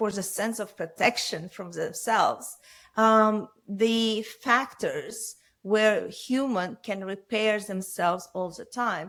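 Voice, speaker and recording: On a very clean recording with a silent background, the voice moves at a very slow pace with fairly even intonation and big swings in loudness. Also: woman, fairly high pitch for a woman. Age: 60s. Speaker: surgeon and skincare entrepreneur. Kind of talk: interview. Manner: halting.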